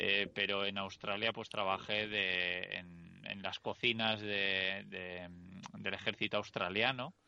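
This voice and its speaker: Against a quiet background, a man speaks very slowly in a flat monotone, his tone bright and sharp and his pitch fairly low. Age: 30s. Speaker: podcast host and vanlife author. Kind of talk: casual interview chat.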